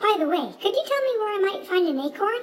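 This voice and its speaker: A woman performs a squeaky put-on character voice at an extremely high pitch. She talks very fast. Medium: read story. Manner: polite.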